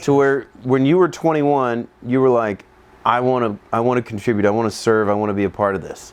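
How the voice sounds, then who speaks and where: At a fairly quick pace, this man uses an ordinary speaking voice, medium in pitch with ordinary pitch variation. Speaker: physician and interviewer. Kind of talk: interview question.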